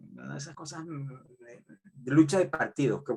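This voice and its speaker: A man with a Venezuelan accent, at a fairly slow pace. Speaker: sociology professor. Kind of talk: lecture. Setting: video call. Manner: halting, with filler repetitions.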